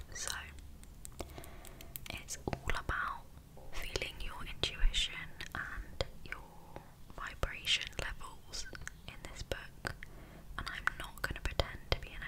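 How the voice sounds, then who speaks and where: Someone whispers in a gentle tone at a very slow pace, with long, frequent pauses and noticeable background noise. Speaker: ASMR creator. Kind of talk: ASMR personal attention and guided meditation. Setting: home recording, cozy roleplay. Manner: soft-spoken, gentle, calming.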